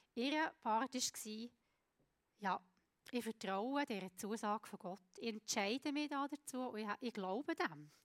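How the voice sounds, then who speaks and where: In a dry, close sound with no echo, a woman with a fairly high pitch speaks at a very slow pace with lively intonation. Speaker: preacher. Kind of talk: sermon. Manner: halting.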